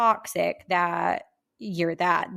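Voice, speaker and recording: A woman talks at a fairly slow pace in an animated tone. The background is quiet. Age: 30s. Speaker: podcast co-host. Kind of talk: casual chat.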